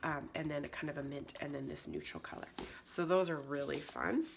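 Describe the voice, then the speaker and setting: Moderately paced female speech over noticeable background noise. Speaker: scrapbooking design team member. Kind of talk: product unboxing tutorial. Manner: casual, chatty with fillers.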